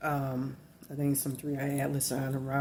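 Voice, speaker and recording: This voice moves at a moderate pace with a Louisiana accent. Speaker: spiritual video blogger. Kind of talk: rambling monologue to camera. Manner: halting, repetitive.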